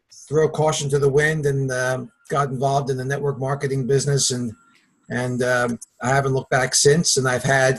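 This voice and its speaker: Here a man with a Philadelphia accent talks at a moderate pace, medium in pitch, with a monotone, flat intonation. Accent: Philadelphia accent, noticeable. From Philadelphia area, US. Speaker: network marketing partner, former vitamin rep. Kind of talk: webinar introduction, personal story.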